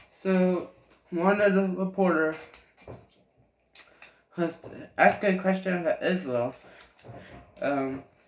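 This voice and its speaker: Amid light background noise and audible room echo, a man speaks very slowly in a high pitch with ordinary pitch variation and long, frequent pauses. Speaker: vlogger. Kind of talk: casual monologue. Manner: halting. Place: home room. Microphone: webcam.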